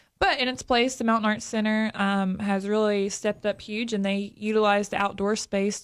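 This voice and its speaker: A woman's flat, monotone delivery with an Appalachian accent at a fairly quick pace. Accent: Appalachian American. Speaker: tourism representative. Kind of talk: radio interview. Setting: studio. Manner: fast.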